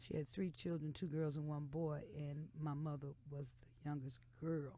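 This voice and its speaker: The woman's tone is dark and mellow. She talks at a very deep, low pitch. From US South, Texas and Lawton, Oklahoma. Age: 60s. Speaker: blues singer. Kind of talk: radio interview. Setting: radio studio.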